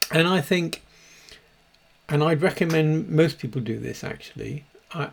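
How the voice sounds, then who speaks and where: Noticeable background noise sits behind a man speaking with a British accent. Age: 60s. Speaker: dog behaviourist. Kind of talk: casual monologue. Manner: halting, many repeated words.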